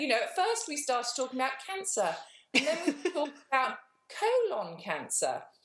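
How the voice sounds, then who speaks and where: With a British accent, a woman speaks at a high pitch, making very wide pitch swings. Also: moderate pace. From England. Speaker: cancer survivor. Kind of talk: interview answer.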